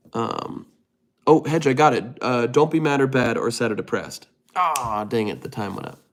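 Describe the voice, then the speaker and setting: On a very clean recording with a silent background, a man with an American accent sounds animated, with vocal fry in his voice. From US West (California). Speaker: streamer. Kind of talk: casual chat. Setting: livestream.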